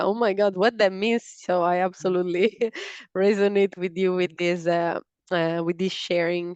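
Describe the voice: A woman speaks at a moderate pace with a fairly low pitch and little pitch movement. Her tone is clear, smooth and slightly mellow, with a dry, close sound and no echo.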